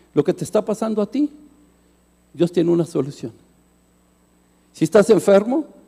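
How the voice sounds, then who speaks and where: With a dark, mellow tone and a high pitch, the man speaks at a fairly quick pace in a dry, close sound with no echo. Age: 60s. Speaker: pastor. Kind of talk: sermon.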